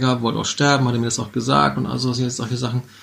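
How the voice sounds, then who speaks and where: A man's medium-pitched voice. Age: 50s. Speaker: podcast co-host. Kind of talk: casual chat.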